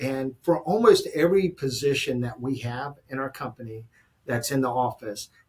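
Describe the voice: The man's voice has a slightly husky edge and ordinary pitch variation. He talks at a moderate pace. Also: medium pitch for a man.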